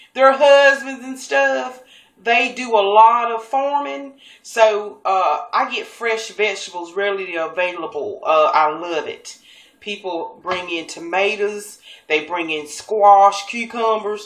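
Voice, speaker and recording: Speaking very slowly, a woman with a medium pitch uses lively intonation and a Southern US accent. Her loudness swings widely, and noticeable background noise is present. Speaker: cooking show host. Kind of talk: cooking tutorial. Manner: casual, chatty.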